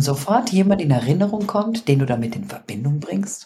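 An animated woman at a fairly slow pace, her pitch swinging very widely. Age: 40s. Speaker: podcast co-host and business coach. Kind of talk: casual chat.

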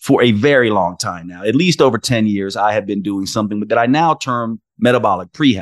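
A man with a normal speaking voice talks at a moderate pace with lively intonation, the sound dry and close with no echo against a quiet background. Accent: American. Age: 50s. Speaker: naturopathic doctor and podcast host. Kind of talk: interview conversation.

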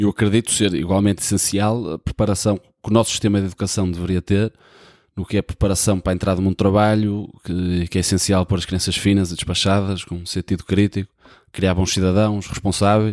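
Recorded very cleanly with a silent background and a dry, close sound with no echo, a man with a European Portuguese accent speaks at a very fast pace and a fairly low pitch with monotone, flat intonation. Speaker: podcast host. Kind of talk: solo podcast monologue. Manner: casual.

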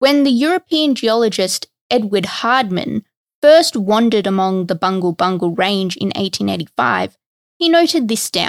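With an Australian accent, a woman talks at a moderate pace, her medium pitch swinging very widely, on a very clean recording with a silent background. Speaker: history podcast host. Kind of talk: scripted narration.

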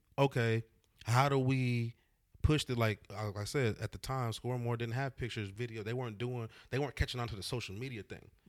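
A man with an American accent and a plain, everyday voice talks at a fairly quick pace, medium in pitch with ordinary pitch variation. His loudness swings widely, and the recording is very clean with a silent background. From Austin, Texas. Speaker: event host and DJ. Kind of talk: casual chat.

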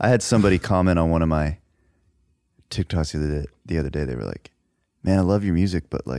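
With a Texan accent and a very deep, low pitch, a man talks fairly quickly in a dark, mellow tone, leaving long, frequent pauses, in a very clean, dry, close recording with a silent background and no echo. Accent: Texan American. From Dallas, Texas. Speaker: podcast host and musician. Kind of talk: casual chat.

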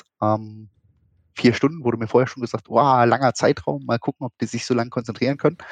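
A man at medium pitch and a very fast pace, with ordinary pitch variation, in a dry, close sound with no echo against a quiet background. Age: 30s. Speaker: esports association official. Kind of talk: casual interview.

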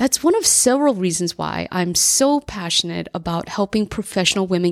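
A woman with an American accent has an ordinary speaking voice at medium pitch and a moderate pace. The very clean recording has a silent background and a dry, close sound with no echo. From US Northeast, New Jersey. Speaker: career coach and podcast host. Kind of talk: personal monologue.

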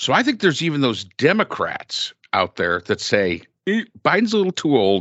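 A man with an American accent speaks with vocal fry and very wide pitch swings. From upstate New York, Finger Lakes. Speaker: podcast host. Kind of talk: casual chat.

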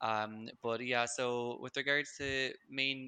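The man's voice is bright and sharp, at a medium pitch, with fairly even intonation. Behind him the background is quiet. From Ireland, Limerick. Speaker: marketing manager. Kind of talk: interview.

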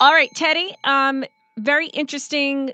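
A woman speaks with an American accent. Her voice sits high in pitch. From New York. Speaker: radio talk show host. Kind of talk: radio interview. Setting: radio studio.

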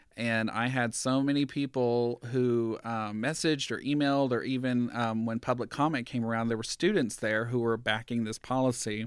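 An unremarkable speaking voice, a man with an American accent talks at medium pitch and a moderate pace, with fairly even intonation and hardly any pauses, on a very clean recording with a silent background. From US South, rural southeast Georgia. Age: 30s. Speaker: school board member. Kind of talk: casual interview. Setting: his office.

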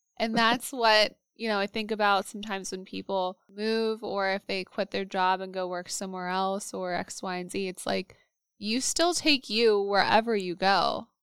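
A woman speaks in a plain, everyday voice at medium pitch, with fairly even intonation and a moderate pace. The sound is dry and close, with no echo. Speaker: podcast host and therapist. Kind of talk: casual interview chat. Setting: video call.

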